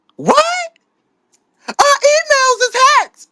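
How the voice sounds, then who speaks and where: A put-on character voice, squeaky and extremely high in pitch, carries the clip. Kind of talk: casual.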